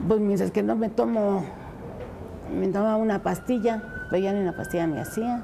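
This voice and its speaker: There is noticeable background noise and audible room echo. A woman speaks at a moderate pace with a medium pitch and ordinary pitch variation. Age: 70s. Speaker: patient. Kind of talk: testimony.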